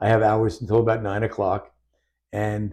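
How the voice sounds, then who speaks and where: Against a quiet background, a man talks at a fairly quick pace. His medium-pitched voice is somewhat breathy. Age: 70s. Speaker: doctor and patient sharing testimony. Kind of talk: interview testimony.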